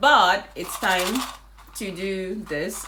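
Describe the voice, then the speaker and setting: A woman speaks with ordinary pitch variation. Room echo is audible, and background noise is noticeable. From Nigeria. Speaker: vlogger, English teacher in Japan. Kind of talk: casual vlog talk.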